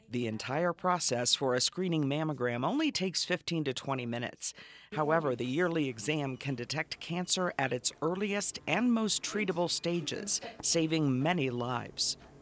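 A man's fairly high voice, an ordinary speaking voice, with lively intonation at a moderate pace, dry and close with no echo. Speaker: narrator of health promo. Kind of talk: scripted narration.

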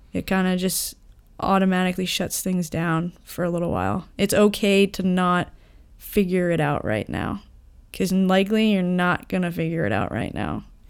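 A woman at medium pitch with a plain, everyday voice, fairly even intonation and a moderate pace, on a very clean recording with a silent background. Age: 30s. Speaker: guest sharing life lessons. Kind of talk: casual chat.

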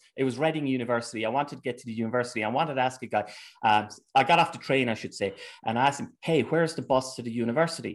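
Talking at a very fast pace over a quiet background, a man uses a medium pitch and ordinary pitch variation, with big swings in loudness. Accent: Irish. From Ireland. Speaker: researcher and commentator on Antifa. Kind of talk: casual interview.

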